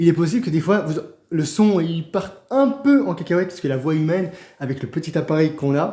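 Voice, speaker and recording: Pitched fairly high, a man's dark, mellow voice moves with ordinary pitch variation. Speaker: songwriter for a channel. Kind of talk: unplanned direct-to-camera announcement. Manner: fast; halting, many repetitions and slips.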